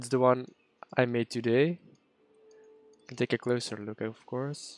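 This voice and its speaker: Fairly slow, fairly even speech in a Dutch accent, with a dry, close sound and no echo. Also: man. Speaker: game streamer. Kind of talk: live gameplay stream chat. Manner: casual, halting.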